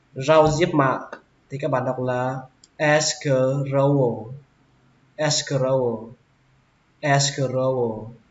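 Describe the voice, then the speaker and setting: With a northern Vietnamese accent, a man speaks very slowly at medium pitch in a monotone, flat intonation, leaving long, frequent pauses. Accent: northern Vietnamese (Hanoi). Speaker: English teacher. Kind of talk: English vocabulary lesson.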